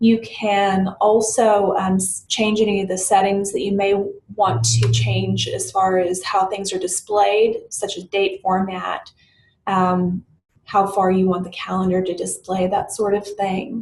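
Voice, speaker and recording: At a fairly slow pace, a woman speaks in a somewhat breathy, medium-pitched voice with ordinary pitch variation. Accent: American. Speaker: software tutorial presenter. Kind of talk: screen-recorded tutorial. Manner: hesitant with fillers and self-corrections.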